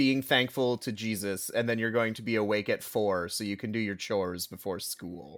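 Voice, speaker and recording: A man with a fairly low pitch talks at a moderate pace with hardly any pauses and ordinary pitch variation. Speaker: podcast guest. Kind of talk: casual chat. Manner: animated.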